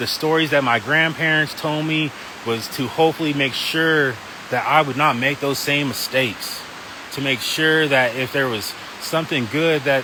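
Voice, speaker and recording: Against noticeable background noise, a man with a fairly high pitch talks at a moderate pace. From Wyoming. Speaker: pastor. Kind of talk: testimony. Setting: outdoors in a park. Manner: casual, conversational.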